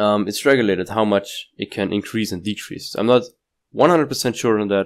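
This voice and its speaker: A non-native accent at a moderate pace with ordinary pitch variation, in a very clean recording with a silent background. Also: man. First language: not English. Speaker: crypto YouTuber. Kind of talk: casual market analysis talk. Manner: halting, with restarts and fillers.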